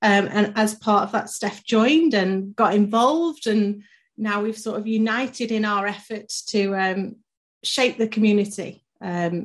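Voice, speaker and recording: A woman speaks fairly slowly in a mid-range voice with some breathiness and normal pitch movement. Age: 30s. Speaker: podcast co-host, marketing director. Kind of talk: casual chat.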